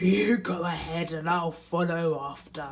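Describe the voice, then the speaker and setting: Fairly slow and at a middle pitch, the speaker uses a put-on character voice. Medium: read story.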